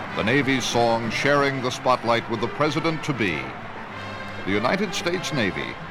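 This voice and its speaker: A man with lively intonation at a moderate pace, music playing in the background. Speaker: news journalist narrator. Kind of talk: documentary news narration.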